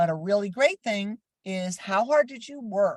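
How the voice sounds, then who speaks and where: Animated and somewhat breathy, a woman speaks at a moderate pace and medium pitch with very wide pitch swings, in a dry, close sound with no echo. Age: 70s. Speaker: critical care educator. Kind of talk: lecture.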